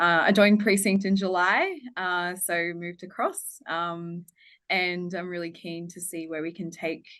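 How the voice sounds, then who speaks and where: A woman talks fairly slowly in an Australian accent, with a fairly low pitch and flat, monotone intonation. Her loudness swings widely, and the background is quiet. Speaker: head of sustainability. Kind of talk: webinar presentation. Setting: online webinar.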